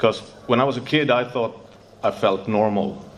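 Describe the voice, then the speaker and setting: Noticeable background noise accompanies a man who speaks fairly slowly. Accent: Swedish. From Sweden, Stockholm. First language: Swedish. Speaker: recovering addict sharing at a convention. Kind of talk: recovery testimony. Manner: halting.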